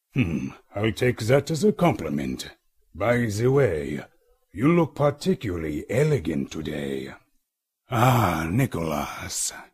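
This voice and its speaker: A man's put-on character voice in a German accent, medium in pitch, at a fairly slow pace with very wide pitch swings. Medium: voice reel.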